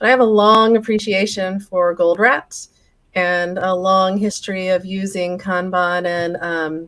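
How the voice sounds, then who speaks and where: This is a normal speaking voice with an American accent. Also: woman, medium pitch for a woman, fairly even intonation, fairly slow pace. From United States. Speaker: flow metrics consultant. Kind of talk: interview on live-stream talk show.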